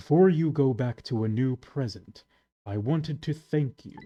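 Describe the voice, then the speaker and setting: A man speaks in a put-on character voice at medium pitch and a moderate pace, with big swings in loudness and a dry, close sound with no echo. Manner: solemn, theatrical.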